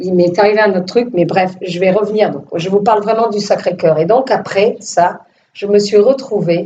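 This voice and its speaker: Ordinary pitch variation marks a woman's medium-pitched speech. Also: moderate pace. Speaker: filmmaker. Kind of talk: testimony. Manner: animated, casual; hesitant repetitions.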